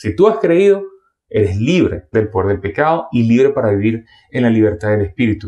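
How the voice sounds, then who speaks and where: With a Venezuelan accent, a man speaks in a dark, mellow tone with lively intonation. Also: medium pitch for a man. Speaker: preacher. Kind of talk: sermon. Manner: fast.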